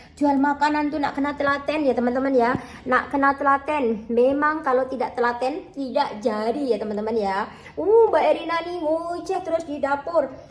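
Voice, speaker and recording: A woman speaks at a high pitch and a moderate pace, with ordinary pitch variation. Noticeable background noise runs under the voice. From Java, Indonesia. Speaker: cooking vlogger. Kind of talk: casual vlog chat while cooking. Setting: kitchen. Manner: chatty.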